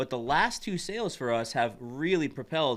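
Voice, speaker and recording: A man speaks at a fairly quick pace with a bright, sharp tone and ordinary pitch variation, in a very clean recording with a silent background. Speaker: podcast co-host and card shop owner. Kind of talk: casual chat. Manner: fast.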